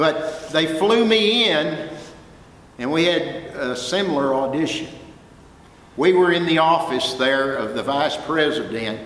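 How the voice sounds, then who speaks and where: In a Texas accent, a man with a fairly high pitch speaks at a fairly slow pace with lively intonation and an animated tone, amid audible room echo and noticeable background noise. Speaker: music professor and record producer. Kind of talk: guest talk to students. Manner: animated storytelling.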